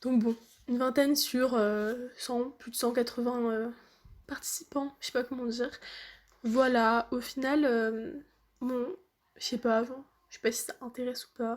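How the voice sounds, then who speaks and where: A woman speaks at a high pitch in a monotone, flat delivery, fairly slowly and with long, frequent pauses. The recording is very clean, with a silent background. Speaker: student vlogger. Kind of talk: casual vlog.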